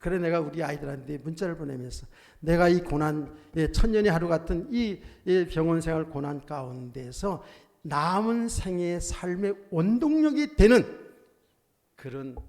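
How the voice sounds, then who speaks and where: A man with a fairly high pitch at a fairly slow pace, with big swings in loudness. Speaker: pastor. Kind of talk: sermon. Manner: animated.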